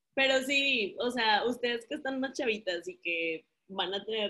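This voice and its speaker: This woman's voice has a bright, sharp tone. Her pitch moves in an ordinary way. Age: 30s. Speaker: guest, married mother. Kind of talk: casual chat.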